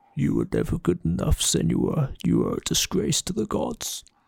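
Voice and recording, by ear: Using a put-on character voice, a man growls at a moderate pace in a very deep, low pitch with a menacing tone.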